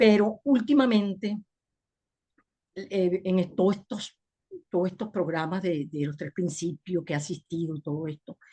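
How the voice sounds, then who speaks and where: A woman with a dark, mellow tone and a somewhat breathy quality speaks fairly slowly at a medium pitch with ordinary variation and long, frequent pauses. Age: 60s. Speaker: webinar participant. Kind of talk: personal testimony.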